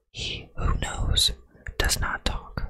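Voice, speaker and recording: Whispering in a calm tone, a man speaks at a very slow pace. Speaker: ASMR content creator. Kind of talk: ASMR book reading. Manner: whispered, soft, calm.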